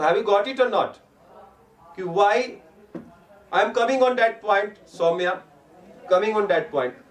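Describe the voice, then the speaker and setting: Speaking in an Indian accent, a man has a high pitch with ordinary variation and a moderate pace. He takes long, frequent pauses, and there is noticeable background noise. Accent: Indian English, Hindi-speaking. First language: Hindi. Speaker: teacher. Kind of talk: online lecture. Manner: mixes Hindi and English.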